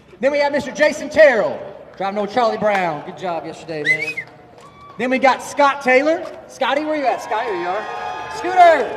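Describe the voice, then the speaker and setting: A man shouts loudly at an extremely high pitch, his voice swinging very widely in pitch. He talks fairly quickly over crowd noise in the background. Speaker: drag racing event host. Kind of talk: live event emcee at driver introductions. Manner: loud, yelling; animated.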